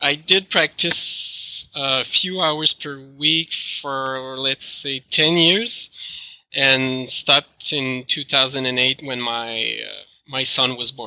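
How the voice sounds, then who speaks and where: Very slowly, a man talks with a French Canadian accent. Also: medium pitch for a man, ordinary pitch variation. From Quebec. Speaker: chiropractic researcher and professor. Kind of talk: interview answers.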